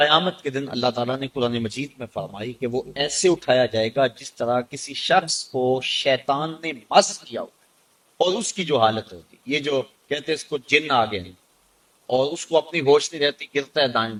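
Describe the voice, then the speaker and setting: Big swings in loudness run through this man's speech. His pitch is fairly high, with ordinary pitch variation. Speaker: Islamic scholar giving a sermon. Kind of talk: religious sermon (bayan). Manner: emotional, emphatic delivery.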